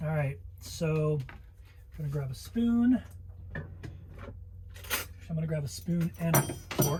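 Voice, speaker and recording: A man with an American accent speaks at a very slow pace. Audible room echo surrounds his voice. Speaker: travel vlogger. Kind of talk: casual vlog cooking tutorial. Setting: inside a camper van.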